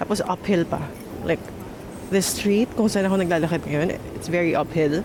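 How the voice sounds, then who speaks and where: A woman with a fairly low voice speaks at a moderate pace with fairly even intonation over noticeable background noise. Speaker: travel vlogger. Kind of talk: casual vlog talk. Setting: outdoors.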